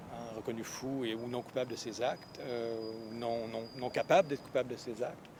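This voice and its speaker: A man at a medium pitch talks at a moderate pace in a flat monotone, barely pausing, over noticeable background noise. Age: 40s. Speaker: professor and novelist. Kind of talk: interview. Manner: halting, many hesitations.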